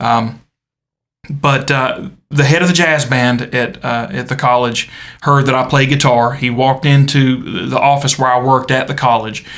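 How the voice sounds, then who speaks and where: A man with a Southern US accent at medium pitch. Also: fairly even intonation, moderate pace. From US South, South Carolina. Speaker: podcast co-host, church guitarist. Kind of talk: casual chat. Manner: halting, many fillers.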